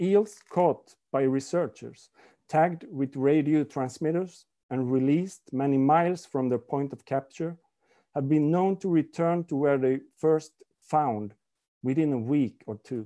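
A man with a Swedish accent speaks at a fairly slow pace against a quiet background. His tone is dark and mellow, with fairly high pitch and ordinary pitch variation. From Sweden. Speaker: author. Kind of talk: reading aloud. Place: home room. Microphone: video call.

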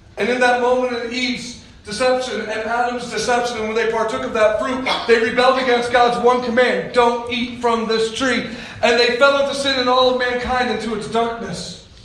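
Amid noticeable background noise, a man talks at a moderate pace in an animated tone with an extremely high pitch. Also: hardly any pauses. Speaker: preacher. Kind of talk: sermon. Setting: church. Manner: animated, conversational preacher who jokes with the congregation; calm, guiding tone during the eyes-closed visualization.

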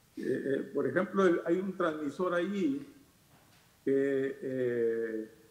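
Audible room echo surrounds a man speaking in a fairly high pitch with ordinary pitch variation. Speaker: radio announcer. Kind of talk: panel discussion talk. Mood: nostalgic, respectful. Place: home room. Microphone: webcam.

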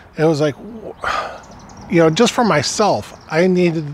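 The man's voice sounds dry with no echo, and there is light background noise. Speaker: motorcycle vlogger. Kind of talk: casual vlog chat. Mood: upbeat, jokey. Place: street.

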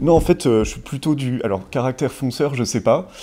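A man talks with ordinary pitch variation. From Savoie, France. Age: 30s. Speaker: tech entrepreneur giving client testimonial. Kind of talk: interview testimonial. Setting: studio set. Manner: hesitant, many fillers and repetitions. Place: office. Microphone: lapel.

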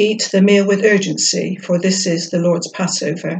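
A woman talks at a moderate pace with a fairly low pitch, vocal fry, a slightly mellow tone and a slightly husky edge. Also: fairly even intonation.

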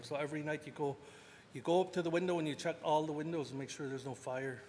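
Against light background noise, a man with a fairly high pitch talks at a very fast pace with fairly even intonation. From Canada. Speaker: First Nations chief. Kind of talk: panel talk. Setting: stage with audience. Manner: joking. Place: hall. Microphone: podium.

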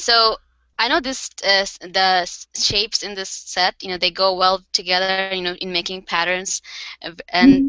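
A woman speaks at a fairly slow pace with ordinary pitch variation, her voice dry with no echo against a quiet background. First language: Bengali. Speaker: card maker and craft company co-founder; guest. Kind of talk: casual interview. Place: home room. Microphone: headset.

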